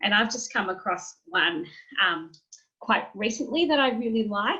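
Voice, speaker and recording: With an Australian accent, a woman speaks in a bright, sharp tone with lively intonation. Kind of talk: webinar presentation.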